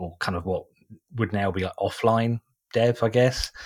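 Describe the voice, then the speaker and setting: In an eastern England accent, a man with fairly low pitch speaks at a moderate pace with fairly even intonation on a very clean recording with a silent background. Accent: British English, eastern England. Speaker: podcast host, SEO specialist. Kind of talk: casual interview chat.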